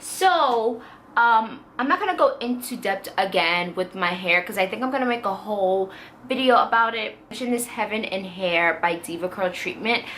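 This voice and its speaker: Over noticeable background noise, a woman speaks at a moderate pace with a fairly high pitch and lively intonation. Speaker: beauty vlogger. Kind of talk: casual product review vlog.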